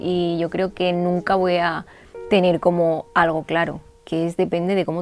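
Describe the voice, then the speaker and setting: A woman speaks at a fairly slow pace in a monotone, flat intonation while music plays in the background. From Catalonia, Spain. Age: 20s. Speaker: journalist. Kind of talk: interview answer.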